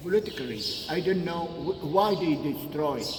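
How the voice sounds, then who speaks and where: A man speaks with an Egyptian accent and a lively intonation. Noticeable background noise runs behind him. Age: 70s. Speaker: Egyptologist tour guide. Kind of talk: guided tour talk. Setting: outdoors / temple site. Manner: animated, enthusiastic.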